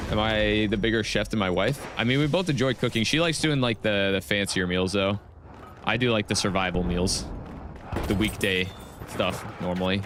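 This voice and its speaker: With an animated tone, a man speaks at a moderate pace and a fairly low pitch. His pitch variation is ordinary and his loudness very even. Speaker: gaming streamer. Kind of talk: live gameplay stream chat. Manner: casual, animated.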